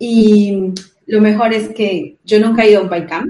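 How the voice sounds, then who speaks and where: Somewhat breathy, a woman with a Colombian accent talks at a fairly slow pace. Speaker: event organizer, junior developer. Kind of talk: casual interview chat.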